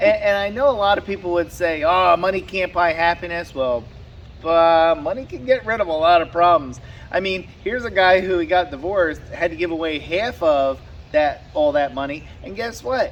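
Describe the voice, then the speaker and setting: The voice is loud, with lively intonation and a moderate pace. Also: man, high pitch for a man. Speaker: YouTuber. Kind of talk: casual chat. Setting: outdoors. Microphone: camera far away.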